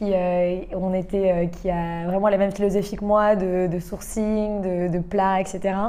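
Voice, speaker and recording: A woman's medium-pitched, dark and mellow voice, very slow and flat in intonation, with audible room echo. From England and Canada. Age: 20s. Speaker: restaurant owner. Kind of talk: interview. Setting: at her restaurant.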